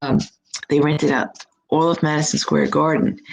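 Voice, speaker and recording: The pitch of this woman's voice is very deep and low. She talks at a moderate speed. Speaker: psychic reader. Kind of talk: live stream chat. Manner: animated.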